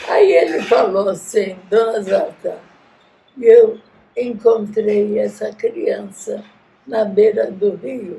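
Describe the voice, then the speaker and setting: This woman's voice sits fairly high. She speaks at a very slow pace. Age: 100. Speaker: genocide survivor's descendant, grandmother. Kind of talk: oral history interview.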